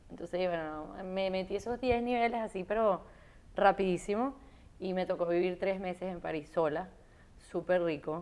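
A woman speaks at a moderate pace and medium pitch with ordinary pitch variation. It is an unremarkable speaking voice on a very clean recording with a silent background. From Venezuela. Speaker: fashion writer and content creator. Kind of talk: casual interview. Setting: at home.

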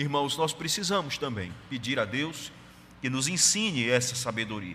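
A man speaks at a moderate pace with a fairly high pitch and a bright, sharp tone. Audible room echo surrounds his voice. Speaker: pastor. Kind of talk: sermon.

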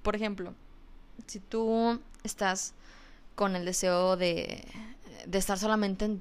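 A woman at medium pitch with fairly even intonation, in a very clean recording with a silent background. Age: 20s. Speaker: podcast host on mental health. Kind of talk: educational talk. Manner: hesitant, repeats words.

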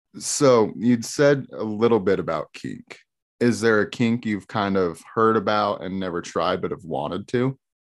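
A man with an unremarkable speaking voice, fairly low in pitch, with ordinary pitch variation and a fairly slow pace, on a very clean recording against a silent background. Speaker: podcast host. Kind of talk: casual interview chat.

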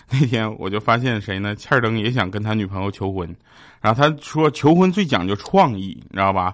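Against a quiet background, a man talks at a moderate pace in a fairly low voice with ordinary pitch variation. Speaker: comedy podcast host. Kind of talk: comedic monologue. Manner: stumbling over words.

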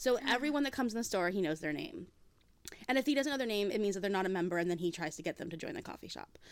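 Racing along at a very fast pace, a woman with a medium pitch lets her voice swing very widely. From Hawaii. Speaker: romance author. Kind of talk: casual interview chat.

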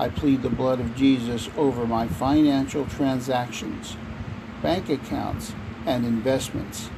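Noticeable background noise sits under a man of medium pitch. He talks at a fairly slow pace with ordinary pitch variation. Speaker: prayer reader. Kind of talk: fervent prayer, reading aloud decrees. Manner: earnest, insistent, declarative; fervent, devout.

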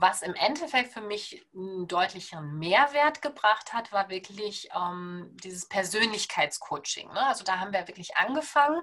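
With a bright, sharp tone, a woman speaks at a fairly slow pace and hardly any pauses, her pitch swinging very widely and her loudness shifting in big swings. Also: medium pitch for a woman. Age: 30s. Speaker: naturopath. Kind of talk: podcast interview.

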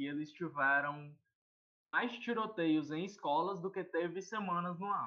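A man with a high-pitched voice speaks with ordinary pitch variation. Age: 20s. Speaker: podcast panelist. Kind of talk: casual chat.

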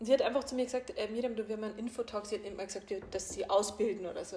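Her voice sits fairly high in pitch. The speaker is a woman. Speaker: life coach and podcast host. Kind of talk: casual chat.

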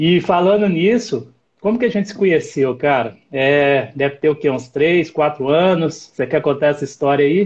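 Somewhat breathy and fairly high-pitched, a man talks at a moderate pace with lively intonation and hardly any pauses. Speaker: live stream host, mountain guide. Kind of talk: live stream interview. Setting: live stream.

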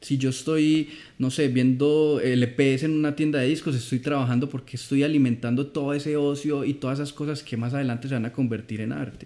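In an Antioquian accent, a man speaks fairly quickly with hardly any pauses and monotone, flat intonation. His voice is fairly high yet has a dark, mellow tone. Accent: Colombian paisa Spanish. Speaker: film director. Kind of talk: casual chat.

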